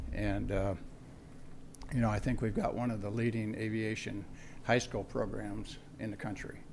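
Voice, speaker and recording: A man talks at a moderate pace with long, frequent pauses, and the room echo is audible. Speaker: aviation instructor. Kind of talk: award presentation. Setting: school board meeting. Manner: halting.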